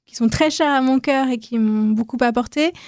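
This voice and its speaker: At a fairly slow pace, a woman with a high pitch speaks with fairly even intonation, in a dry, close sound with no echo on a very clean recording with a silent background. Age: 40s. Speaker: podcaster, former journalist. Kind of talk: interview.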